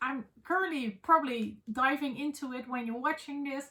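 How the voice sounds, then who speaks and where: With a Dutch accent, a woman projects a raised voice at a high pitch with a bright, sharp tone. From Netherlands. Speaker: book vlogger. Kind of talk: casual vlog chat. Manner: halting with many fillers.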